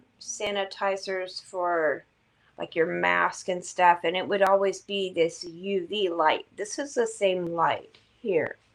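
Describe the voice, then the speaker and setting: At a very slow pace, a woman talks with a medium pitch. Her pitch variation is ordinary. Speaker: vlogger and tarot reader. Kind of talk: casual vlog. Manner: casual, hesitant with fillers.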